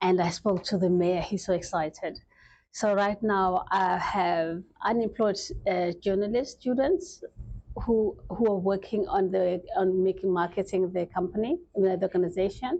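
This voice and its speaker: Over a quiet background, a woman speaks at a fairly slow pace, her tone dark and mellow and her intonation fairly even. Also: medium pitch for a woman, very even loudness. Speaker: charity founder and royal. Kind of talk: talk show interview.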